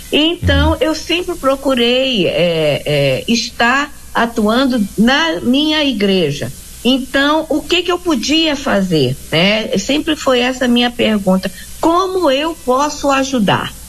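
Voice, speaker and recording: A woman with a high pitch speaks at a very slow pace, her loudness very even despite very wide pitch swings. Noticeable background noise is present. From Rio de Janeiro. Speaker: missionary. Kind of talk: interview.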